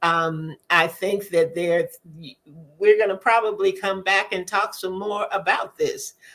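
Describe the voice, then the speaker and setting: A woman with an unremarkable speaking voice talks at a fairly slow pace with fairly even intonation. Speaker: podcast co-host, author. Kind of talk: casual panel chat.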